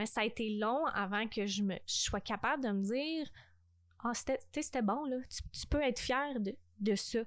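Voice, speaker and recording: Ordinary pitch variation marks this voice with a Quebec accent. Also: woman, fairly high pitch for a woman, moderate pace, quiet background. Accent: Québécois French. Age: 20s. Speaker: podcast host. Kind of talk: casual chat. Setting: home recording at parents' house.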